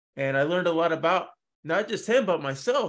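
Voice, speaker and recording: A fairly high-pitched man with an unremarkable speaking voice, over a quiet background. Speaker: podcast host. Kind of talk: interview.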